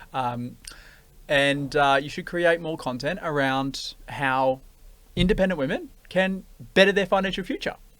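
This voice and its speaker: A man with an Australian accent at a fairly slow pace, with ordinary pitch variation. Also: fairly high pitch for a man, very clean recording, silent background. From Australia, western Sydney. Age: 20s. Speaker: podcast host and buyers' agent. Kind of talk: casual interview chat.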